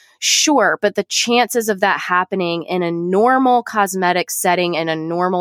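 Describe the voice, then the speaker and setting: A woman with an ordinary speaking voice talks at a moderate pace with ordinary pitch variation, recorded very cleanly against a silent background with a dry, close sound and no echo. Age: 30s. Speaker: nurse practitioner. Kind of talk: casual interview.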